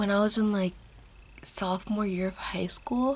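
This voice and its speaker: Someone is whispering. There is noticeable noise in the background. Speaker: beauty vlogger. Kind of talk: casual makeup tutorial vlog. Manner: whispering a little; rambling, casual.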